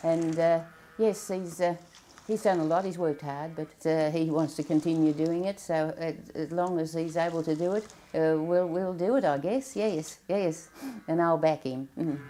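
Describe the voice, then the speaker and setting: At a moderate pace, a woman with an Australian accent speaks at a fairly low pitch with ordinary pitch variation. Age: 70s. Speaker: dairy farmer. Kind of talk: interview. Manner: halting.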